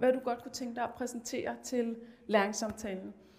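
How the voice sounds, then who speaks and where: A high-pitched woman's voice at a moderate pace. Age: 30s. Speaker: teacher. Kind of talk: presentation. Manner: halting.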